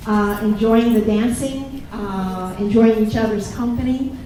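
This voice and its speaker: With an American accent, a woman speaks at a fairly high pitch, with audible room echo and crowd noise in the background. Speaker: college campus president. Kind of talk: welcome speech.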